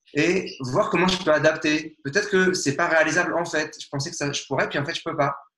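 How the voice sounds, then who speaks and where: This man's voice is high-pitched with a bright, sharp tone, moving at a fairly quick pace. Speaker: nonviolent communication trainer. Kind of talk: interview. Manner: fast.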